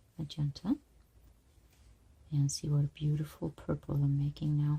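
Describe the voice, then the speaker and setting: Very deep, low pitch from a woman, somewhat breathy with a dark, mellow tone, dry and close with no echo. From outside the United States. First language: not English. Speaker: art teacher. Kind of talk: tutorial. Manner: casual.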